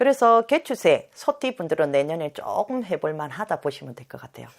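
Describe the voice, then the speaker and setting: A woman's voice with vocal fry and very wide pitch swings, on a very clean recording with a silent background. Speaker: fortune teller. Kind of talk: fortune-telling interview chat.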